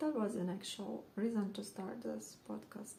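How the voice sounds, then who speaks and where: A woman speaks at a moderate pace with a non-native accent. Room echo is audible. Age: 40s. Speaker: knitting podcaster. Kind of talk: casual show-and-tell monologue. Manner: hesitant, with frequent fillers.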